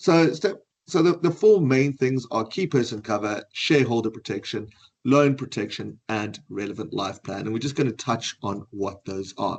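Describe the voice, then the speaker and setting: A man with a South African accent, medium pitch and lively intonation. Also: moderate pace. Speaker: financial advisor. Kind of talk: webinar presentation.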